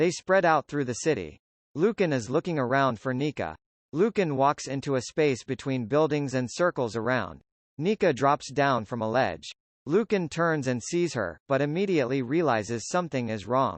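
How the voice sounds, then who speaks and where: Lively intonation from a man at a medium pitch. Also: moderate pace. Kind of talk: script narration. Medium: audio drama.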